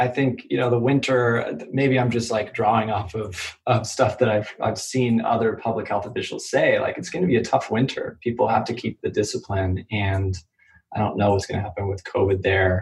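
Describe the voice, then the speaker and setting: In an American accent, a man speaks at a moderate pace and medium pitch. His somewhat breathy voice shows ordinary pitch variation. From US Midwest, Kansas City. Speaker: startup lawyer. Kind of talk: interview.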